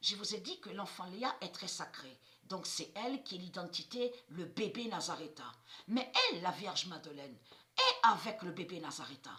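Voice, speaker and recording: Noticeable background noise accompanies a woman with a medium-pitched voice. She speaks at a fairly slow pace, with lively intonation and big swings in loudness. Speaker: esoteric video channel host. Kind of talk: monologue to viewers. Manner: halting, repetitive.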